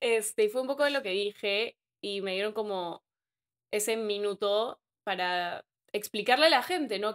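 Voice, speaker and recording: The woman's fairly high voice comes over a quiet background. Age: 20s. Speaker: social media influencer. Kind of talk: casual chat. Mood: reflective, calm. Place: home room. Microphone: studio mic.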